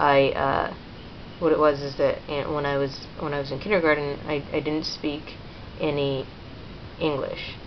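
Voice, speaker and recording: A woman with a very deep, low pitch speaks in a monotone, flat way at a moderate pace with long, frequent pauses, amid audible room echo and noticeable background noise. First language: Spanish. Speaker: vlogger. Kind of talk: personal testimony. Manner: halting, many fillers.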